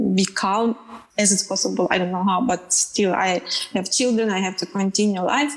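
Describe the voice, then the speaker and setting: A woman talks at a medium pitch with ordinary pitch variation. Noticeable background noise runs underneath. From Ukraine. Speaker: film director. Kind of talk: panel discussion.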